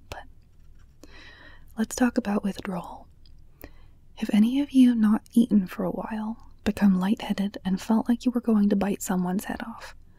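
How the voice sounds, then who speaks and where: Soft-spoken and somewhat breathy, a woman with a fairly high pitch and a dark, mellow tone talks at a moderate pace with fairly even intonation, big swings in loudness and long, frequent pauses, in a dry, close sound with no echo. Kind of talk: ASMR book reading with commentary. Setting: home studio microphone.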